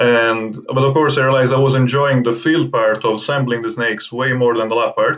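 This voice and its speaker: A man's medium-pitched voice with an Italian accent, fairly quick with hardly any pauses and fairly even intonation. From southern Italy, Naples. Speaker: herpetologist. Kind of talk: interview. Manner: halting, with many repetitions and fillers.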